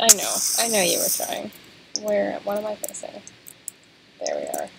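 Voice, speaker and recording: Soft-spoken and mumbling, a woman talks at a moderate pace over noticeable background noise. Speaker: gaming co-host. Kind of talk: let's play gaming chat.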